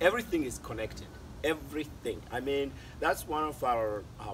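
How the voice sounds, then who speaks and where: Against noticeable background noise, a man speaks at a fairly slow pace in a somewhat breathy voice. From Mali. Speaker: artist, author, illustrator, storyteller. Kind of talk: interview answer. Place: garden.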